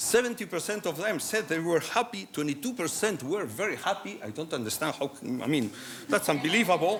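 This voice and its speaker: Noticeable background noise sits behind a man speaking at a fairly quick pace in a high pitch with very wide pitch swings. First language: Spanish or Basque. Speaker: medical doctor, conference speaker. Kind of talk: conference talk. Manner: halting, many fillers and restarts.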